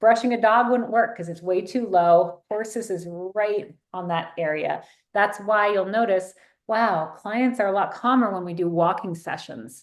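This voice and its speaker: In an unremarkable speaking voice with an American accent, a woman talks at a moderate pace with ordinary pitch variation against a quiet background. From US East Coast. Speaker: therapist. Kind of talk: online training workshop.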